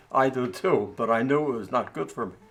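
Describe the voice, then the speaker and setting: Music plays in the background while the speaker goes at a fairly slow pace with ordinary pitch variation. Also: man. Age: 90s. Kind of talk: interview answer.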